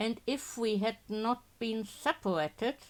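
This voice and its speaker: A woman's gruff, put-on character voice, fairly high in pitch and fairly slow in pace. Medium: game stream. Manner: gruff, argumentative.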